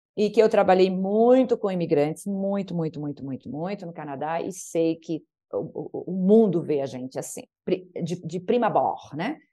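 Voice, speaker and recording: With music in the background, a woman of medium pitch speaks at a moderate pace, her intonation lively and her loudness swinging widely. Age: 50s. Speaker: naturopath and podcast guest. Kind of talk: interview conversation.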